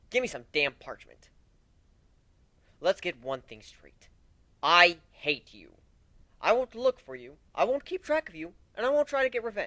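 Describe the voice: Someone uses a put-on character voice with a bright, sharp tone and big pitch swings. The pace is fairly slow, with long, frequent pauses. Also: man, high pitch for a man.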